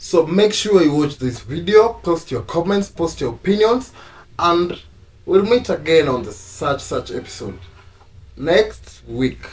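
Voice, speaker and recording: A man with an East African accent speaks at a fairly slow pace, his high pitch carried by lively intonation. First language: Swahili. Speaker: YouTube couple channel host. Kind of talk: casual chat.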